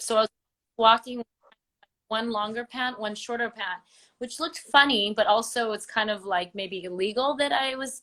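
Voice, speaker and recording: With an American accent, a woman talks at a moderate pace in a normal speaking voice with a fairly high pitch. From US West Coast, Los Angeles. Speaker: travel blogger. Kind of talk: interview. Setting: live Instagram video call.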